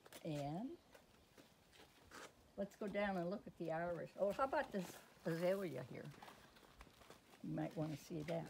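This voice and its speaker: Lively in intonation yet broken by long, frequent pauses, a woman speaks at a fairly low pitch with vocal fry. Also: moderate pace. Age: 80s+. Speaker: gardener. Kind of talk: casual garden tour talk to camera.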